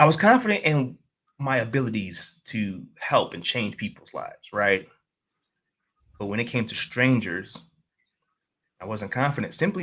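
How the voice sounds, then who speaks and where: With a New York accent and a bright, sharp tone, a man speaks at a medium pitch and moderate pace, his pitch swinging very widely and his loudness shifting sharply, with long, frequent pauses. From New York City, Queens. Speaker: life coach and motivational speaker. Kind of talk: interview conversation.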